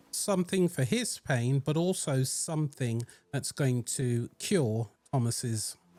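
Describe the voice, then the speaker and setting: Over background music, the voice moves at a very slow pace with lively intonation and very even loudness, its sound dry and close with no echo. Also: man. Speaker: gaming youtuber. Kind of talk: game walkthrough commentary. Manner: casual, conversational.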